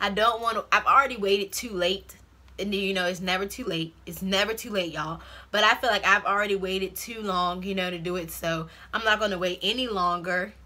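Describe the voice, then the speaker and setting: Talking at a fairly quick pace, a woman with an American accent has a bright, sharp tone at medium pitch. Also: fairly even intonation. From Virginia. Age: 20s. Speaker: YouTuber. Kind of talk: casual Q&A vlog. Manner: fast.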